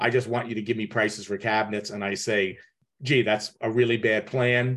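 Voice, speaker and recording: A man uses a normal speaking voice at medium pitch. He talks at a fairly quick pace against a quiet background. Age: 60s. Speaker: kitchen designer and podcast host. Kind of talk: advice call-in conversation.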